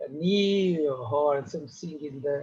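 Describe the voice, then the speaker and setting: A man speaks very slowly with a non-native accent. His pitch variation is ordinary. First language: not English. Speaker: yoga therapist. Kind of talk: conference talk. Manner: halting.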